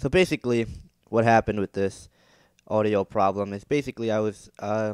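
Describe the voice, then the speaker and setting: Speaking at a fairly quick pace, a man has an unremarkable speaking voice, fairly low in pitch with ordinary pitch variation. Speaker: gamer. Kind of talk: casual talk to camera.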